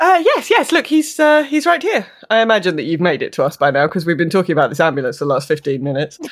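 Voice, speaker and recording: A woman with a British accent at a very fast pace, with hardly any pauses. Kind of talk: tabletop roleplaying game, casual chat.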